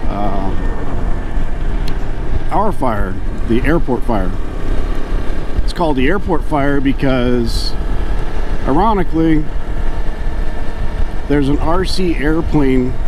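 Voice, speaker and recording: The sound is dry with no echo as a man talks at a very slow pace over noticeable background noise. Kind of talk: casual vlog chat. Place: motorbike. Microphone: helmet.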